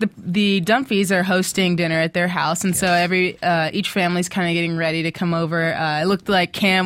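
A woman with an American accent and an unremarkable speaking voice, fairly low-pitched, with fairly even intonation at a moderate pace, on a very clean recording with a silent background. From Texas (Austin). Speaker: TV recap podcast co-host. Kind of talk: casual chat. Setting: studio.

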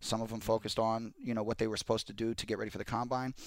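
A man with an American accent speaks at a very fast pace in a very clean recording with a silent background. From South Central Los Angeles. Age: 30s. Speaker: NFL insider. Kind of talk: casual chat.

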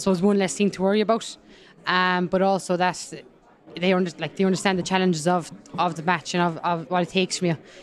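Delivered at a very fast pace in a Kerry accent, the speech has a monotone, flat intonation. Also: woman. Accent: Kerry Irish. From County Kerry, Ireland. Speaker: women's rugby player. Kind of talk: interview.

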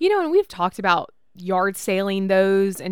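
A woman at a medium pitch with lively intonation, a normal speaking voice. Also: very clean recording, silent background. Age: 30s. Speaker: podcast host. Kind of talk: casual chat.

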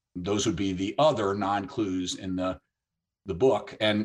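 Against a quiet background, a man with a normal speaking voice talks at a moderate pace in a fairly low pitch. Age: 60s. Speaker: author and missions ministry leader. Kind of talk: interview on biblical prophecy.

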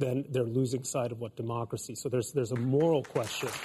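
A man with a medium-pitched, dark, mellow voice talks at a fairly quick pace. He sounds somewhat breathy, with fairly even intonation, on a very clean recording with a silent background. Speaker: political commentator. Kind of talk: panel discussion. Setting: studio with audience.

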